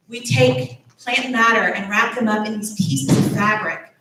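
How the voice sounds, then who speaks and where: A woman speaks with a Texas accent at a fairly slow pace. Her voice sits fairly high. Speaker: church director of faith development. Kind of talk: children's message in church service. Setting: church service, also streamed online.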